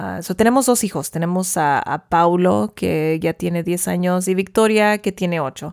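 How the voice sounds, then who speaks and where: A woman with a plain, everyday voice speaks at a fairly slow pace with a fairly low pitch, lively intonation, and hardly any pauses. The recording is very clean, with a silent background and a dry, close sound with no echo. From US, central California (Tulare County). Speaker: podcast host, parent. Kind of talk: casual chat.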